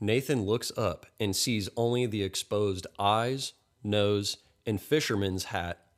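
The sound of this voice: The voice reads in an unforced way.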